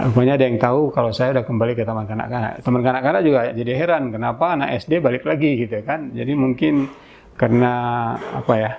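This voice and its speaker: Against noticeable background noise, a man talks at a very fast pace, medium in pitch with ordinary variation. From Indonesia, Aceh Singkil. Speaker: senior journalist. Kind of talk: interview, life story.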